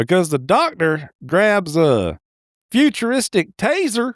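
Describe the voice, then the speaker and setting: Using a put-on character voice, a man drawls with very wide pitch swings. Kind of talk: folksy comic movie recap. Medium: solo performance. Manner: rambling, drawling, hesitant fillers, chuckling.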